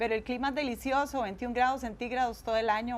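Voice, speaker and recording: A woman's fairly high voice in a Costa Rican accent, at a fairly quick pace with fairly even intonation. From Costa Rica, Guadalupe. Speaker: speaker giving testimony. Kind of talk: tv interview. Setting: tv studio.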